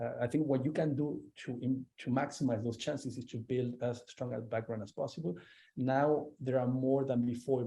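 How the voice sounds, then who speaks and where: A man with a Spanish accent, dark, mellow tone and moderate pace. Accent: noticeable Spanish. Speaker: arbitration lawyer, panelist. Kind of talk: panel discussion. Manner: halting, many fillers.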